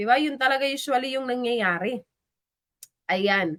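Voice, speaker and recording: Here a woman uses a raised, projected voice, pitched high. Her tone is animated, with ordinary pitch variation. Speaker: live stream host. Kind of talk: livestream shout-outs.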